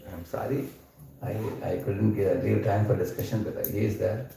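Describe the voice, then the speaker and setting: A man with an Indian accent talks at a fairly quick pace, with audible room echo. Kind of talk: scripture lecture. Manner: loud.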